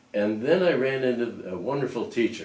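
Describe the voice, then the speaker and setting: A man with an American accent at a moderate pace, with noticeable background noise and audible room echo. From US Midwest, Lakewood, Ohio. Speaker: retiree reminiscing. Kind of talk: oral history interview. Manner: halting, with frequent fillers.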